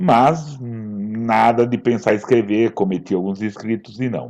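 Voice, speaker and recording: A man's dark, mellow tone at a fairly low pitch. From São Paulo state, Brazil (Ribeirão Preto). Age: 60s. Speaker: writer and actor. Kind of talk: interview. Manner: halting.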